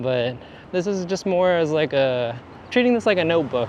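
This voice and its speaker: Mumbling in a relaxed tone, a man with a fairly high voice talks at a moderate pace with lively intonation over noticeable background noise. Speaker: photographer and vlogger. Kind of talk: casual vlog talk. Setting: walking outdoors in downtown. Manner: relaxed, halting.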